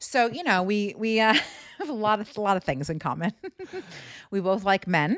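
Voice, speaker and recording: An American-accented woman's medium-pitched voice, animated in tone with lively intonation, at a moderate pace broken by long, frequent pauses. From US East Coast. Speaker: podcast host, comedian. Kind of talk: casual chat.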